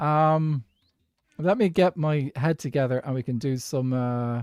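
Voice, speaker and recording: A man with an Irish accent at medium pitch and a fairly slow pace, ordinary pitch variation, on a very clean recording with a silent background. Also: dry, close sound with no echo. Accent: posh Irish. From Ireland, Dublin. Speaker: gaming streamer. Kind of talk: casual chat. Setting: live stream.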